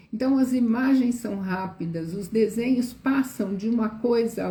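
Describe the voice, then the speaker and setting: A woman speaks at a fairly slow pace in a fairly high voice. Her tone is dark and mellow, and her intonation is lively. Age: 60s. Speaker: educator. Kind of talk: live stream talk. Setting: live stream.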